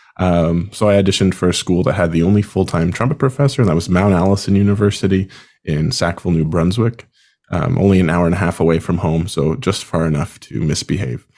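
A man with a Maritime Canadian accent, very deep and low in pitch, dark and mellow in tone, at a very fast pace, with ordinary pitch variation and very even loudness. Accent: Canadian (Maritimes). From Canada, Prince Edward Island. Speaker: band conductor and podcast host. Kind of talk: casual chat.

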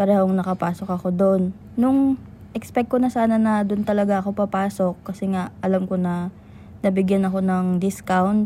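A woman speaks at a moderate pace in a somewhat breathy, dark and mellow tone, her intonation fairly even. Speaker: podcast co-host. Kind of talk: casual chat.

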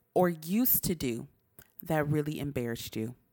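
Loud and very deep, low in pitch, the woman's voice moves at a fairly slow pace. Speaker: podcast co-host. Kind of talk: casual chat. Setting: home recording at night. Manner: excited.

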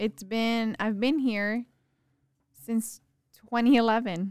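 Fairly even intonation marks this speaker with an American accent. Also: woman. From Texas, Rio Grande Valley. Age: 20s. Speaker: podcast guest. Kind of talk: casual chat. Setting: studio.

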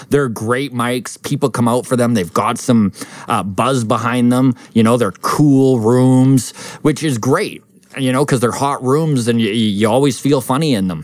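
At a moderate pace, a man with a Canadian accent and an unremarkable speaking voice talks at medium pitch with ordinary pitch variation. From Alberta, Canada (Grand Prairie). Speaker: stand-up comedian. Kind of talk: casual chat. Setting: in a brewery.

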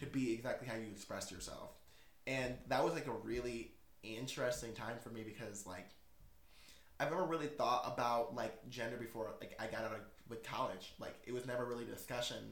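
A somewhat breathy man speaks at a fairly quick pace in an animated tone with ordinary pitch variation. Room echo is audible. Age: 20s. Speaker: podcast host. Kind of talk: casual chat.

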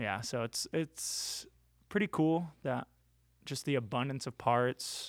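A man talks at a very slow pace, medium in pitch, with ordinary pitch variation. The recording is very clean with a silent background, and the sound is dry and close with no echo. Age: 30s. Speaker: pro scooter rider. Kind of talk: casual chat. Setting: studio.

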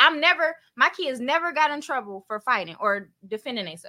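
The voice is raised and projected, with a bright, sharp tone and lively intonation. It moves at a fairly quick pace. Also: woman. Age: 30s. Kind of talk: casual chat.

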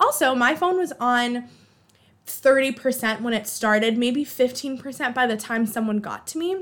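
A woman with an American accent speaks at a moderate pace in an animated tone, her high pitch showing ordinary variation. The recording is very clean, with a silent background. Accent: Boston accent coming out at times. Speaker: podcast host. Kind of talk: casual solo chat.

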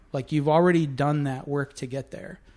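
A man's fairly high-pitched voice with fairly even intonation, on a very clean recording with a silent background. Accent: Upper Midwest. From Minnesota (Winona). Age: 40s. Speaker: chef. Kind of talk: casual chat.

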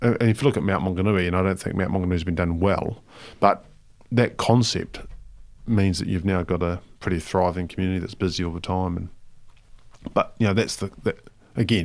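Despite long, frequent pauses, a man with a very deep, low pitch keeps a fairly quick pace and fairly even intonation. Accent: New Zealand. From New Zealand, Palmerston North. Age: 40s. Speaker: charity foundation chief executive. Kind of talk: interview. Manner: casual, with many fillers.

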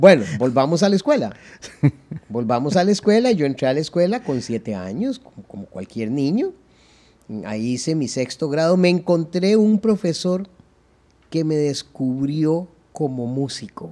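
A man with a Costa Rican accent talks at a fairly slow pace, his dark, mellow tone set at a fairly high pitch. His pitch swings very widely, broken by long, frequent pauses. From Costa Rica, San José area. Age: 60s. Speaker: accordion player. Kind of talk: interview.

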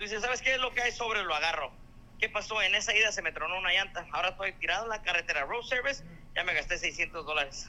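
Raising and projecting his high-pitched voice, a man speaks very fast with lively intonation. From Mexico. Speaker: truck driver and clown. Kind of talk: casual chat.

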